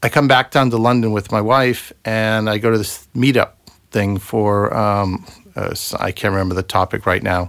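A plain, everyday voice from a man, fairly low in pitch, with fairly even intonation at a moderate pace, on a very clean recording with a silent background. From US Massachusetts. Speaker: property investor and former software engineer. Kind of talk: casual chat. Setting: studio.

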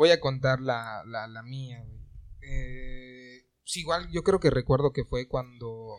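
A man talks at a very slow pace. Behind him, the background is quiet. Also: medium pitch for a man, ordinary pitch variation, big swings in loudness. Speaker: podcast guest. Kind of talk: casual chat.

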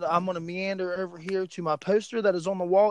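Here a man talks fairly quickly in an American accent. His voice is high for a man, and the sound is dry and close with no echo. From West Virginia. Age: 20s. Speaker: podcast host. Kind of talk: casual chat. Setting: phone call.

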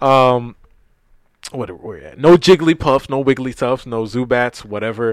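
A man with an ordinary speaking voice talks in an American accent at a moderate pace, with medium pitch and ordinary pitch variation. The sound is dry and close with no echo, and his loudness swings widely. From New York, Brooklyn. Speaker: podcast host. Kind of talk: casual chat.

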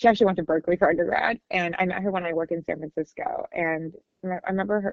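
A woman in a plain, everyday voice with a General American accent talks at a fairly quick pace at medium pitch, with ordinary pitch variation. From California-born, raised in Shanghai, China. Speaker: business school graduate. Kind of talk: casual interview. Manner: casual, frequent fillers like 'like'.

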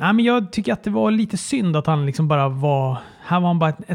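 Dry and close with no echo, a man's fairly high-pitched voice rushes along at a very fast pace. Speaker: wrestling podcast co-host. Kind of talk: casual chat.

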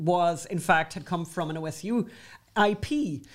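Speaking with an Irish accent, a woman uses lively intonation. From Ireland. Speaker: podcast co-host. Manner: chatty, storytelling, wry humour.

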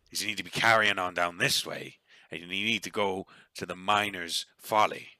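A man puts on a raspy character voice and talks at a moderate pace. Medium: actual play. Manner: gruff, folksy.

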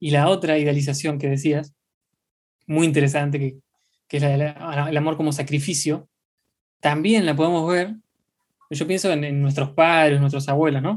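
The speaker, in a Rioplatense accent, leaves long, frequent pauses. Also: moderate pace. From Argentina. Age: 20s. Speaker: podcast co-host. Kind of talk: casual chat.

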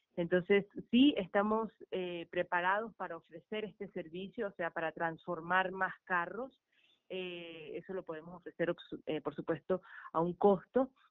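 At a fairly slow pace, a woman talks in an ordinary speaking voice at medium pitch, with ordinary pitch variation and big swings in loudness. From Venezuela. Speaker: artist and recycling project founder. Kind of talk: radio interview.

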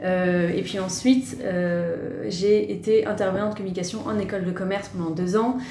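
With a medium pitch and fairly even intonation, a woman speaks in a space with audible room echo and noticeable background noise. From Paris, France. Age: 30s. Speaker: press officer. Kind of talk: podcast interview.

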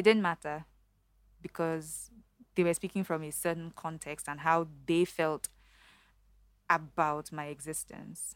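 A woman speaks at a fairly low pitch and a fairly slow pace, her loudness swinging widely and her intonation flat and monotone. She leaves long, frequent pauses, and the recording is very clean with a silent background. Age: 30s. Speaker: bank strategy lead. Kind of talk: casual interview chat. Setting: studio. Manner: clear diction.

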